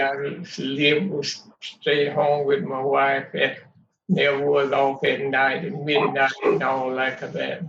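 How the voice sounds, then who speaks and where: Audible room echo hangs around the voice. It moves along at a fairly slow pace. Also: man. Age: 90s. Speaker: family elder. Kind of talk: family interview. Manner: halting.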